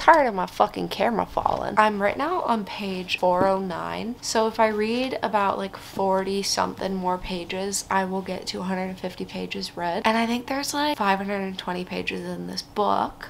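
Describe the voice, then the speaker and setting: Over noticeable background noise, a woman keeps a moderate pace and hardly any pauses. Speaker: book vlogger. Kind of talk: casual vlog talk.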